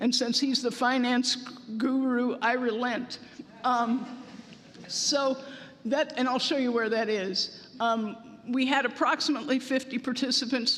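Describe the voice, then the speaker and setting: Noticeable background noise accompanies speech delivered at a moderate speed. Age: 70s. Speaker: congregation member presenting survey results. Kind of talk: presentation at congregational meeting. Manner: hesitant, with fillers.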